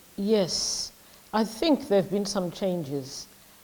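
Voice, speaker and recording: Against noticeable background noise, a woman speaks at medium pitch with lively intonation. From Zimbabwe. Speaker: community worker. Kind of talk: interview. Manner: hesitant, many fillers.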